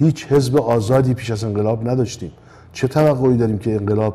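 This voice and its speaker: This man has a medium-pitched voice with a dark, mellow tone and fairly even intonation. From Iran, Tehran. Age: 70s. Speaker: composer; interview guest. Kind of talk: interview. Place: studio.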